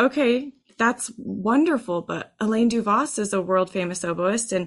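A woman with an unremarkable speaking voice and an American accent talks at a medium pitch, her pitch varying in an ordinary way. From Texas. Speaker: oboe professor. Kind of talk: interview.

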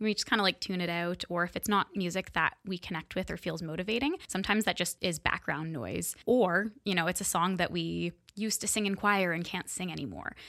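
A woman with a Canadian accent speaks at a fairly quick pace with hardly any pauses, at a medium pitch with ordinary pitch variation. Her tone is bright and sharp with vocal fry, in a very clean recording with a silent background. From Kingston, Ontario, Canada. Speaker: music therapist. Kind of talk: interview.

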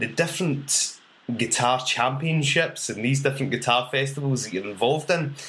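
Here a man speaks with a Scottish accent. His tone is bright and sharp, and his pace is moderate. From Scotland. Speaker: podcast host, drummer and comedy songwriter. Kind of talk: casual interview chat.

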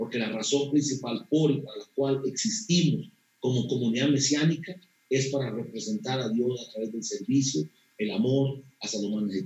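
Lively intonation marks a man's voice with a Costa Rican accent. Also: medium pitch for a man, moderate pace. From Costa Rica, rural Alajuela near Poás. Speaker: pastor. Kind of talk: interview.

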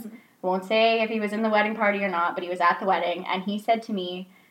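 Woman with an unremarkable speaking voice, medium pitch and a fairly quick pace. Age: 20s. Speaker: dating podcast co-host. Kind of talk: casual chat.

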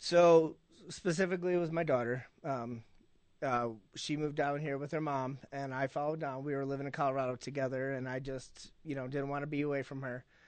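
A man with an American accent talks in a normal speaking voice at a fairly high pitch. His pace is fairly quick and his intonation fairly even against a quiet background. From Illinois. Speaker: rugby player. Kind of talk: radio interview.

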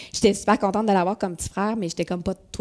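The recording is very clean, with a silent background. A woman speaks with a Quebec accent and fairly even intonation. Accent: Québécois French. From Quebec City, Quebec. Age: 40s. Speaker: business owner. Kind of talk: interview conversation.

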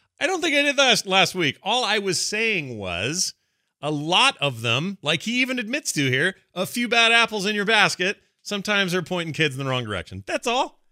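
In a very clean recording with a silent background, a man projects a raised, high-pitched voice with a bright, sharp, animated tone, moving at a moderate pace with very wide pitch swings. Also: dry, close sound with no echo. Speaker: podcast host taking calls. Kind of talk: casual comedic chat. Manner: animated, joking.

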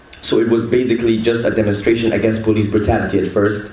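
A man's fairly low voice at a very fast pace, with audible room echo and noticeable background noise. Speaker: rapper. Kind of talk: panel talk.

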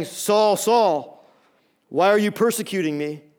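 In a booming, put-on character voice, the speaker uses a fairly high pitch and moves at a fairly slow pace. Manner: commanding, reproachful.

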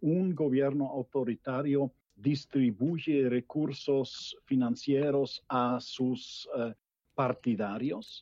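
This man speaks at a very slow pace. His pitch is medium. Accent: German. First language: German (speaking Spanish). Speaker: political scientist. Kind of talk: panel discussion. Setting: video call. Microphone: bad connection.

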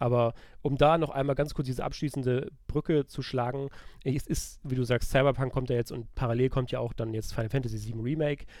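A man with an unremarkable speaking voice and medium pitch talks at a fairly quick pace. His intonation is fairly even. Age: 30s. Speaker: video game journalist. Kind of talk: casual chat.

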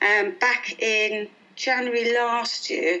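This is a woman speaking with a British accent. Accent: noticeable regional British. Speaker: guest, mum, nutrition plan client and mentor. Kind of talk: interview conversation. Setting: phone call.

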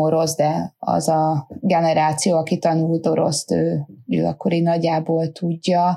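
In a dark, mellow tone, a woman speaks at a very slow pace with a fairly low pitch and fairly even intonation. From Hungary. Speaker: rafting business owner, mother. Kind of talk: interview.

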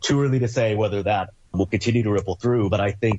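A man with a fairly low pitch and a somewhat breathy voice talks at a very fast pace with ordinary pitch variation. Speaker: policy researcher. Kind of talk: interview.

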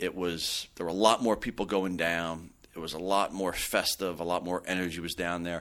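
In a very clean recording with a silent background, a man speaks in a very deep, low voice with a New Jersey accent. His delivery is monotone and flat, with hardly any pauses. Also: moderate pace. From New Jersey, Belleville. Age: 40s. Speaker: mayor. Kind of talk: interview. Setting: studio.

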